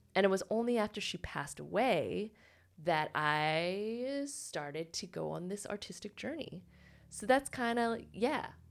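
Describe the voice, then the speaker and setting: A woman with an unremarkable speaking voice talks at a medium pitch and a fairly slow pace. Her intonation is lively. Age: 30s. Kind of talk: casual chat.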